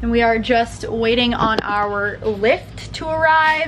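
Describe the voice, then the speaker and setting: A woman speaks at a high pitch. Light background noise is present. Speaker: lifestyle vlogger. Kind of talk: casual vlog chat. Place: home room. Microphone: phone near.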